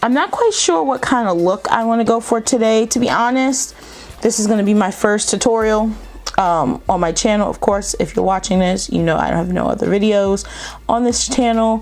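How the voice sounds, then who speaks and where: A woman's fairly high voice at a moderate pace, with ordinary pitch variation and very even loudness, over noticeable background noise. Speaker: beauty YouTuber. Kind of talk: makeup tutorial. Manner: casual, chatty.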